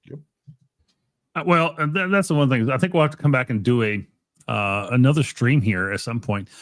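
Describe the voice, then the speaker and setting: Over a very clean recording with a silent background, a man talks at a fairly quick pace with lively intonation and long, frequent pauses. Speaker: ham radio livestream host. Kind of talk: casual livestream chat. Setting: livestream.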